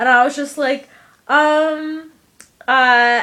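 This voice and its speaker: Speaking with an American accent, a woman uses a high pitch and a bright, sharp, animated tone. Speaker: vlogger. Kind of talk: casual chat.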